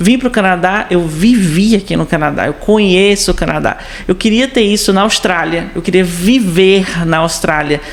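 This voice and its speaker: A woman at medium pitch, a moderate pace, and noticeable background noise. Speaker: exchange student. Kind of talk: casual chat.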